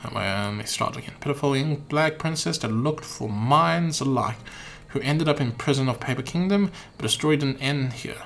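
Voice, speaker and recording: Over noticeable background noise, a man with an American accent talks at a fairly quick pace and fairly high pitch with lively intonation. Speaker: video game streamer. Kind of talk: reading game dialogue aloud on a live stream. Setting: live stream.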